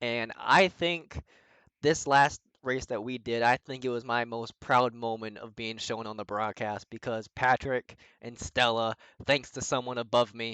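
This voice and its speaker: With a slight Boston accent, a man speaks at a medium pitch in a bright, sharp tone, his intonation fairly even but his loudness swinging widely, in a dry, close sound with no echo against a quiet background. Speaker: sim racing driver. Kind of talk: casual chat.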